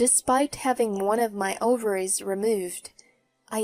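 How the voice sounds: Everything around is quiet while a natural reading voice carries the text.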